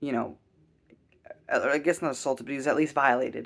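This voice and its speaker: This man speaks at a fairly quick pace. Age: 20s. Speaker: YouTuber reviewing TV shows. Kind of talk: casual solo review monologue. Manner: hesitant, many fillers. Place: home room. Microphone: webcam.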